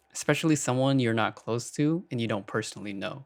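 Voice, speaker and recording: A man with an American accent, an unremarkable speaking voice, medium pitch and a fairly quick pace. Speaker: video essayist responding to another creator. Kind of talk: commentary rebuttal.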